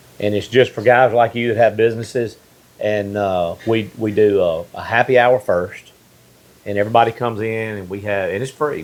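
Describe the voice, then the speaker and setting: A man with a Mississippi accent at medium pitch, fairly even intonation and a moderate pace, over noticeable background noise. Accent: Mississippi Southern US. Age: 50s. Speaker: podcast host. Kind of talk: casual interview chat.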